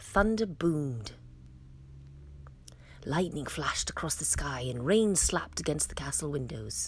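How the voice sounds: A woman speaks at a fairly slow pace in a slightly mellow tone, with big pitch swings.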